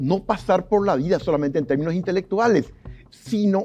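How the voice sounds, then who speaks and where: At a moderate pace, a man speaks with a high pitch and lively intonation. His tone is dark and mellow. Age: 60s. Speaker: sociologist and journalist. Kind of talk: TV interview.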